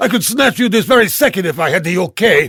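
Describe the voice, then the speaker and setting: In a put-on character voice, a man shouts angrily at a very fast pace, high in pitch with very wide pitch swings. The recording is very clean, with a silent background. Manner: angry, yelling.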